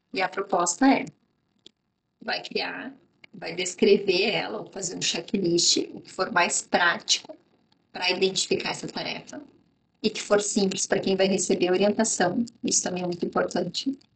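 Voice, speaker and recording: Pausing long and often, a woman speaks at a moderate pace in a somewhat breathy, medium-pitched voice, her loudness swinging widely while her pitch varies in an ordinary way. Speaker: business consultant. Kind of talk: instructional talk to camera.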